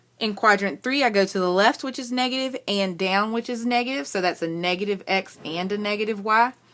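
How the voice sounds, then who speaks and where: A woman with a plain, everyday voice, medium in pitch with ordinary variation, fairly quick and with hardly any pauses. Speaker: math teacher. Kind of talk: tutorial. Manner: casual with frequent fillers.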